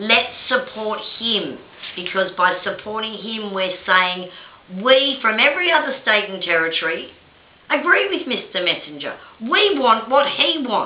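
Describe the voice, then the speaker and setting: Amid noticeable background noise and audible room echo, a woman with an Australian accent speaks fairly slowly in a fairly high voice that swings very widely in pitch. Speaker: video blogger and victims' rights advocate. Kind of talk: opinion monologue to camera. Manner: impassioned.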